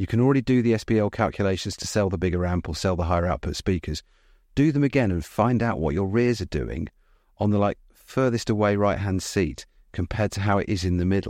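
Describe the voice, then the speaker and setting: A man with a British accent talks very fast in a fairly low voice. His intonation is lively, and the background is quiet. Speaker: podcast host and cinema designer. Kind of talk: casual chat between co-hosts. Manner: fast talker.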